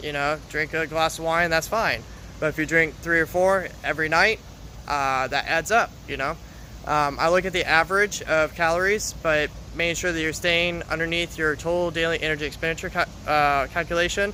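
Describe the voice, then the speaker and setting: This man has a fairly high pitch. His intonation stays fairly even. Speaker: fitness coach. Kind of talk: live stream Q&A. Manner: fast; halting, many fillers.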